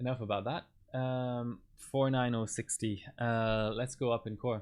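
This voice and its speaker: A man talks at a fairly slow pace in a monotone, flat intonation. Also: medium pitch for a man. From Ireland. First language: German. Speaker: overclocking livestreamer. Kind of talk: live-streamed tutorial commentary. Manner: halting, many fillers.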